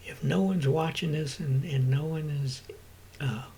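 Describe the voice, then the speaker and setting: Speaking at a moderate pace, a man's voice sits fairly high with ordinary pitch variation. Audible room echo fills the space. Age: 60s. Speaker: vlogger and rideshare driver. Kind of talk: casual vlog monologue. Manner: halting, many fillers.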